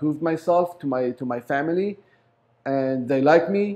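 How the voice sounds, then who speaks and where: Against a quiet background, a man with an Arabic accent speaks at a fairly high pitch in a dark, mellow tone with ordinary pitch variation. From Lebanon. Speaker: business owner. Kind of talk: interview. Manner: halting.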